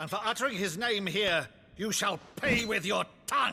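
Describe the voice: Shouting in a raised, put-on character voice, a man speaks at a high pitch and a moderate pace, his tone bright and sharp with vocal fry. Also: lively intonation.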